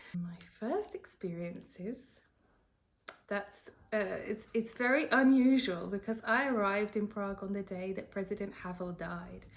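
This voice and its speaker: In a British accent, the speaker talks at a fairly slow pace with ordinary pitch variation. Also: woman, medium pitch for a woman. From United Kingdom. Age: 30s. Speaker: freelance translator and editor. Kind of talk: interview answer.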